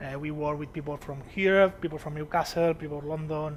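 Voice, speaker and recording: Flat and monotone, a man speaks with a non-native accent. His pace is moderate. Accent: non-native English speaker. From Spain, Barcelona (Catalonia). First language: Spanish or Catalan. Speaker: software developer / tech speaker. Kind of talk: conference talk. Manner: halting, many fillers.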